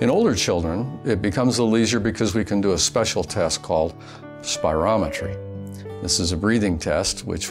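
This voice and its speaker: Clear music plays behind a man whose voice is very deep and low. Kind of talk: interview answer. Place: office.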